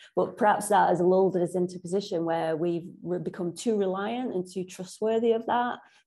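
Her voice has a dark, mellow tone and fairly even intonation. The woman talks at a fairly quick pace against a quiet background. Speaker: podcast host and interviewer. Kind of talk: interview. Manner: warm. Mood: enthusiastic, engaged. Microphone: video call.

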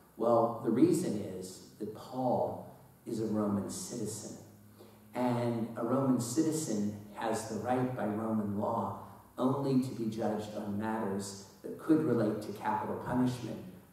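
Strong room echo surrounds this man's voice. He speaks at a fairly slow pace with ordinary pitch variation. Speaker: priest. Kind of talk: sermon. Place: church.

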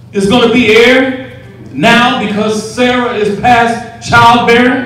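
A man's high-pitched voice at a very slow pace, with strong room echo. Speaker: preacher. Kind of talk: sermon. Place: church.

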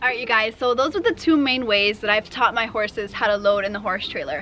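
A woman talks at a fairly quick pace with ordinary pitch variation. Light background noise is present. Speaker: horse trainer host. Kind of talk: tutorial. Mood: cheerful, laughing. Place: farm machine.

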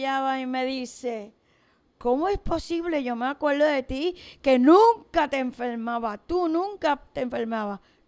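Against a quiet background, a woman speaks in a high voice. Her pace is fairly slow. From Puerto Rico, Aguadilla; Puerto Rico. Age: 70s. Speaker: school teacher; teacher being interviewed. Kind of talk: interview. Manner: animated. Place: studio. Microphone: studio mic.

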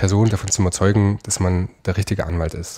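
A man's dark, mellow tone in a very clean recording with a silent background. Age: 30s. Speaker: lawyer, law firm founder. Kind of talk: interview.

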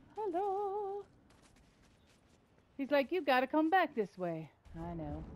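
A woman talks very slowly, her pitch swinging very widely, while noticeable background noise runs underneath. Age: 60s. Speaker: gamer. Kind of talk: casual gameplay commentary.

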